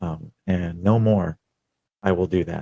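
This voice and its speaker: In an American accent, a man with a very deep, low pitch and a dark, mellow tone speaks in a flat monotone. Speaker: podcast host, military veteran. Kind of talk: personal testimony monologue. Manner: halting, many fillers.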